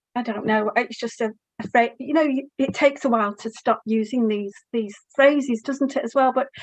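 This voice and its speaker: A woman's high voice carries fairly even intonation. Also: moderate pace. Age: 60s. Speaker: roundtable panelist. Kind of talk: casual chat. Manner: halting.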